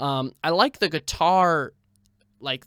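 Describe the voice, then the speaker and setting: In a very clean recording with a silent background and a dry, close sound with no echo, a man speaks in a bright, sharp, animated tone with ordinary pitch variation. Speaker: singer-songwriter and filmmaker. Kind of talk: casual video commentary. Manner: animated, halting with fillers.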